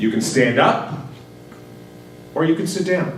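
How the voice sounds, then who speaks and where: A fairly high-pitched man with lively intonation, amid audible room echo and noticeable background noise. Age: 50s. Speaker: physician. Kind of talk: public talk.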